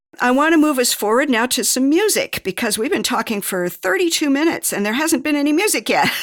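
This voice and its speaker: Over noticeable background noise, a woman talks fairly quickly at a high pitch, with very wide pitch swings. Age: 60s. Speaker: podcast host. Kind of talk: interview.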